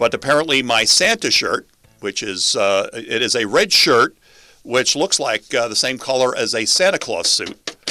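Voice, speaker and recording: The New York accent of a man comes through at a moderate pace, in a dry, close sound with no echo. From New York City (Queens). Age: 60s. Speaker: radio talk show host. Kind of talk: talk radio. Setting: radio studio on camera.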